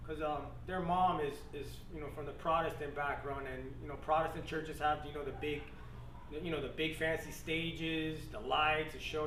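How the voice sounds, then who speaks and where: With audible room echo and clearly audible background noise, someone talks at a moderate pace. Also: man. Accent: American. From Florida, Miami. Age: 30s. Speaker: Marine veteran, church convert. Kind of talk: testimony. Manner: casual, many fillers.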